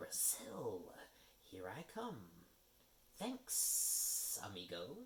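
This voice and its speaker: Putting on a character voice, a fairly high-pitched man speaks at a very slow pace with long, frequent pauses, over clear background noise. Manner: casual, cheeky.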